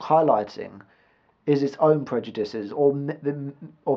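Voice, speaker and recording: A man talks at a moderate pace. His pitch sits at a medium level. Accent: British. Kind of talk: casual vlog monologue to camera. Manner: rambling, hesitant, some stuttering.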